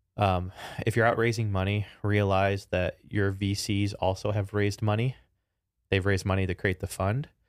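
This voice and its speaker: A man's fairly low, monotone, flat voice at a moderate pace, very even in loudness, on a very clean recording with a silent background. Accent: Chicago. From Chicago, US Midwest. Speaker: tech startup founder and CEO, former NASA engineer. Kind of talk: casual interview.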